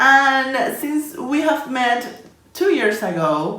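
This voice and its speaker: A woman speaks with a Spanish accent amid audible room echo. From Colombia. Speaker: illustration and design YouTuber. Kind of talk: casual vlog talking to camera.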